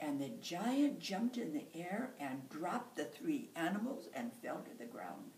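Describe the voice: What you hear is plain reading aloud.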